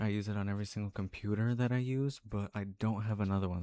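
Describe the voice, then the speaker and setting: Quiet and very fast, a man speaks in a dark, mellow tone at a fairly low pitch with monotone, flat intonation, in a very clean recording with a silent background and a dry, close sound with no echo. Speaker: sim racing streamer. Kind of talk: live stream commentary. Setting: home room, parents next door.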